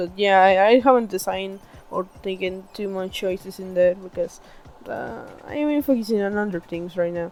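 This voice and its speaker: With music playing in the background, a woman talks at a fairly slow pace and with ordinary pitch variation. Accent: non-native. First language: not English. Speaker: digital artist. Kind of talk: casual voice-over explaining own artwork.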